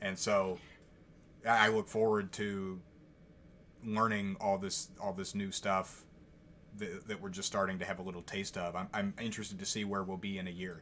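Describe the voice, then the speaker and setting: In a very clean recording with a silent background, a man with a fairly low pitch and a bright, sharp tone speaks in a monotone, flat intonation with long, frequent pauses. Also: moderate pace. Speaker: YouTube commentary vlogger. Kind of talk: casual chat. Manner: halting, stuttering; many pauses.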